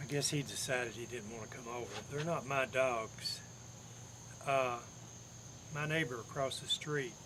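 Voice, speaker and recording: Someone with an East Tennessee accent speaks with long, frequent pauses and big swings in loudness against noticeable background noise. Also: man, medium pitch for a man, fairly even intonation, moderate pace. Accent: East Tennessee Southern American. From Campbell County, Tennessee. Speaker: Air Force veteran. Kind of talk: oral history, casual talk to camera.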